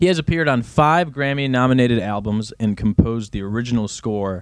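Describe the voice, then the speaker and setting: On a very clean recording with a silent background, a man with a plain, everyday voice speaks at a fairly quick pace in a medium pitch. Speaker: podcast co-host. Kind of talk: casual chat.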